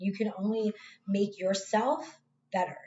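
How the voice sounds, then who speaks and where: This woman's pitch sits in the medium range. Her pace is fairly slow. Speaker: tarot reader. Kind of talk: tarot reading monologue. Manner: casual, conversational; halting, repeats words.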